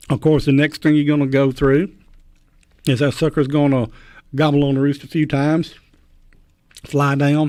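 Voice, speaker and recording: A man with a Mississippi accent, fairly high pitch, a dark, mellow tone, monotone, flat intonation and a fairly quick pace. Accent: US Southern (Mississippi). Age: 60s. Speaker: champion turkey caller. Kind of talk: radio interview. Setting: radio studio.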